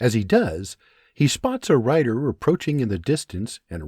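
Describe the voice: The surroundings are quiet. Someone does plain reading aloud.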